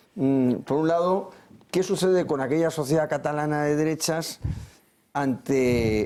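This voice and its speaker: At a fairly slow pace, the speaker's tone comes across dark and mellow. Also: man. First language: Catalan (speaking Spanish). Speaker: political commentator. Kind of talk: TV panel debate. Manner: halting, with repetitions.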